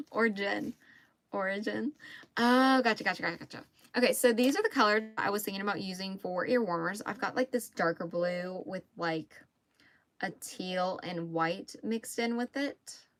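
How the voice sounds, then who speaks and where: A woman speaks with an American accent at a moderate pace. Her pitch varies in an ordinary way. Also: medium pitch for a woman. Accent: mild Southern US, stronger when upset. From Mississippi. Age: 20s. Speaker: crochet livestreamer. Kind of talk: casual livestream chat while crocheting. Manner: chatty, conversational.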